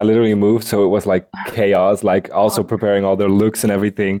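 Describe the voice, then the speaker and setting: A man with a Dutch accent speaks at a fairly quick pace against a quiet background, his fairly low voice dark and mellow in tone and monotone and flat in intonation. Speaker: drag performer. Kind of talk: interview.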